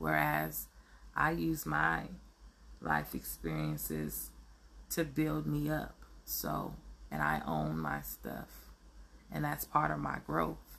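Speaking at a very slow pace with long, frequent pauses, a woman talks with vocal fry. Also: ordinary pitch variation. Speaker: podcast host. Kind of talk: motivational monologue. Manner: halting, many fillers.

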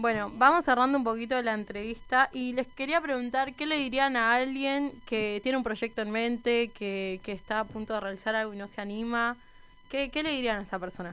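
Her pitch fairly high and its variation ordinary, a woman speaks at a fairly quick pace in an ordinary speaking voice. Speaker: youth radio host. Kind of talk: casual radio show.

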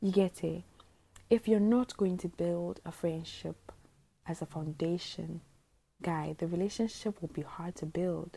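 At a moderate pace, a woman talks in a fairly low, somewhat breathy voice with a dark, mellow tone and ordinary pitch variation. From Botswana. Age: 20s. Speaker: podcaster. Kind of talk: casual monologue. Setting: at home at night.

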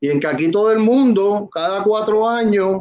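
This man's voice sits high. He keeps a moderate tempo, and his pitch moves in an ordinary way. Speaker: political panelist. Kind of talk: panel discussion.

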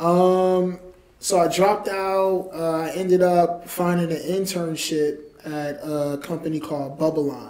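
Fairly slow and with fairly even intonation, the speaker talks in a New York accent. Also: man, high pitch for a man. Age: 30s. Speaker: entrepreneur and author. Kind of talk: interview.

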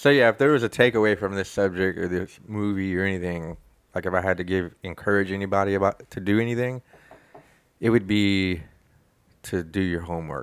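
Here a man talks at a fairly quick pace with a fairly low pitch. He has an unremarkable speaking voice and ordinary pitch variation. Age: 40s. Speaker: podcast host. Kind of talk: casual chat.

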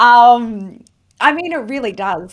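In an Australian accent, someone speaks at a fairly slow pace on a very clean recording with a silent background. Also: woman. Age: 30s. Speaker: entrepreneur and business coach. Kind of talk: interview.

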